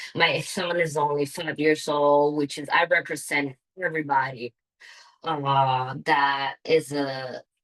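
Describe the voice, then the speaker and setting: A woman's very deep, low voice, very slow and monotone with flat intonation. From Italy. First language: Italian. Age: 30s. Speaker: parent, council candidate. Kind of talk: candidate statement at public meeting. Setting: community council meeting. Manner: halting, hesitant.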